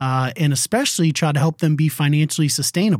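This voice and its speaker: Set in a very clean recording with a silent background and a dry, close sound with no echo, an ordinary speaking voice with an American accent moves at a moderate pace with ordinary pitch variation. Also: man. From New England, Connecticut. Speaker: non-profit coach, former pastor. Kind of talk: interview conversation.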